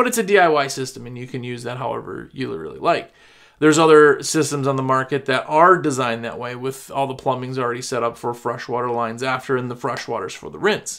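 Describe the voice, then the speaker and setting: In a raspy, put-on character voice at a medium pitch, a man talks at a very fast pace with hardly any pauses and big swings in loudness. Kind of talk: podcast explanation. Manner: talking super fast.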